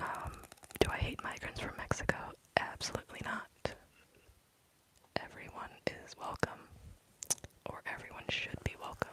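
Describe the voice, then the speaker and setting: A moderately paced whisper, broken by long, frequent pauses, over noticeable background noise. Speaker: ASMR streamer. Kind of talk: ASMR live stream chat. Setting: dark room, live stream. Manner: whispering.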